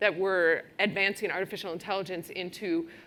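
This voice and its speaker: A woman speaks in a Wisconsin accent. Her tone is bright and sharp. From Wisconsin, US Midwest. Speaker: technology executive at a law firm. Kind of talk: conference talk. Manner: casual, many fillers.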